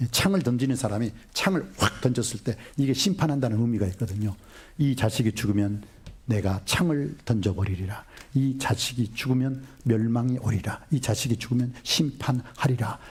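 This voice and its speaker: Animated in tone with lively intonation, a man speaks at a medium pitch, somewhat breathy, his loudness very even. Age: 60s. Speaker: pastor. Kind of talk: sermon.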